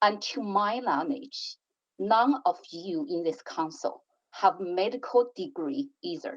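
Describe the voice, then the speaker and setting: At a very slow pace, a woman with a fairly high pitch speaks with very wide pitch swings. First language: not English. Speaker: city councillor. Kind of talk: council debate speech. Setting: council chamber.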